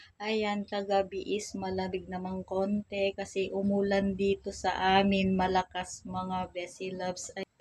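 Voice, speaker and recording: Music plays in the background as a woman talks at a fairly slow pace. Her medium-pitched voice has a monotone, flat intonation. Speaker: vlogger. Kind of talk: casual vlog.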